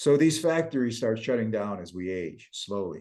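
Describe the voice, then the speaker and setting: A man's dark, mellow voice in an American accent, with lively intonation at a moderate pace. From US (emigrated from Kyiv at age 7). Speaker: water company founder, deuterium researcher. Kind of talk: interview conversation. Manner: casual, with many fillers.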